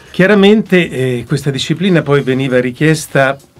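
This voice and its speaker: Over faint music in the background, a man speaks fairly slowly with lively intonation. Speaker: voice actor. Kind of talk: interview answer. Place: studio. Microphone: studio mic.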